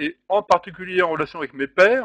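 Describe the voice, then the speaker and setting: This man has a high pitch and ordinary pitch variation, recorded with a dry, close sound and no echo. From France, Normandy. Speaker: distance learning trainer. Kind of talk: webinar presentation. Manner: fast; loud.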